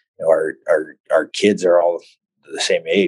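Heard in a dry, close sound with no echo, a man speaks at a moderate pace in a Canadian prairie accent. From Saskatchewan, Canada. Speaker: former hockey player, development coach. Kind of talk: casual interview. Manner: halting, many repeated words and fillers.

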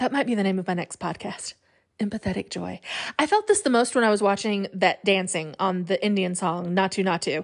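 A woman's animated voice at medium pitch, fairly quick, with ordinary pitch variation over a quiet background. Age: 40s. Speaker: podcast host. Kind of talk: casual monologue.

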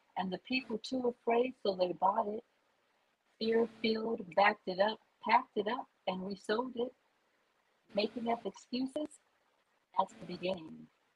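A woman with an American accent and a fairly high, somewhat breathy voice speaks at a moderate pace with ordinary pitch variation and long, frequent pauses. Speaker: poet. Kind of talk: spoken word poetry. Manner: questioning, indignant rhetorical delivery.

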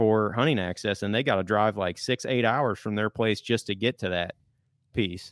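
At a moderate pace, a man with a normal speaking voice and a fairly low pitch talks with fairly even intonation. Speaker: public land hunter and hunting content creator. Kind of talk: casual chat. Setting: studio.

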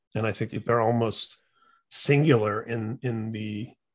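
A man with an American accent talks at a medium pitch. His voice is somewhat breathy. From Indiana, US Midwest. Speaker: podcast host. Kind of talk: casual chat.

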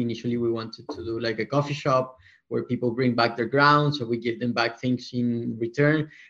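At a fairly quick pace, a man with a Spanish accent speaks in fairly even intonation over a quiet background. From Colombia. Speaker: company co-founder and CEO. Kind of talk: casual interview.

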